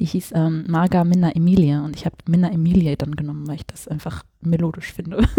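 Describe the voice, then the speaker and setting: A woman speaks at a fairly quick pace with hardly any pauses, her voice fairly low, somewhat breathy and dark, mellow in tone. Her intonation is fairly even, but her loudness swings widely. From Hesse, near Frankfurt. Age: 20s. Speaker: fashion and portrait photographer. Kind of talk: casual chat. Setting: home living room.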